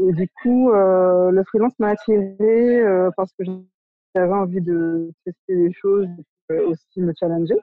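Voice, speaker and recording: A woman's very slow speech with fairly even intonation and long, frequent pauses. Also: medium pitch for a woman. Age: 30s. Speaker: art director. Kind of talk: interview. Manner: halting.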